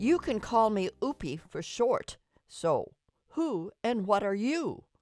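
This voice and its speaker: A woman's put-on character voice with very wide pitch swings, faint music in the background. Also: fairly high pitch for a woman, fairly slow pace. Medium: read story. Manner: curious, friendly.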